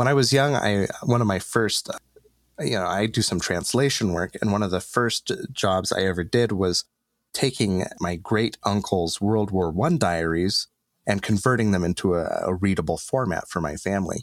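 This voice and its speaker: A man with a fairly low pitch, ordinary pitch variation and a moderate pace, dry and close with no echo, a very clean recording over a silent background, an ordinary speaking voice. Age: 30s. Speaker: board game critic. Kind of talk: casual chat.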